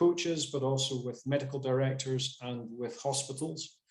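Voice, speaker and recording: Speaking at a moderate pace in a Scottish accent, a man with a fairly high pitch sounds somewhat breathy and keeps a monotone, flat intonation. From Scotland. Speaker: sports physiotherapist. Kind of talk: webinar presentation. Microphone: without headset.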